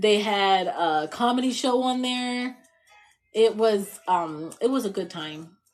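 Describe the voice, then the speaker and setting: Music plays in the background as a woman talks. Her tone is animated and her intonation lively. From Indiana, US Midwest. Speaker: livestreamer. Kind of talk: casual chat. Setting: live stream.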